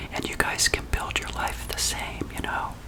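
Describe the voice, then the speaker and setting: Whispered words come at a fairly quick pace while background noise stays noticeable. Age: 50s. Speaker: ASMR creator, early retiree. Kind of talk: casual ASMR talk. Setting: outdoors on patio. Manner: soft-spoken.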